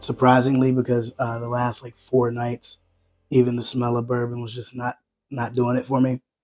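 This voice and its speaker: Over background music, a man speaks at a medium pitch in a monotone, flat intonation. His loudness swings widely. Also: moderate pace. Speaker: whiskey reviewer. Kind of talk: casual talk to camera.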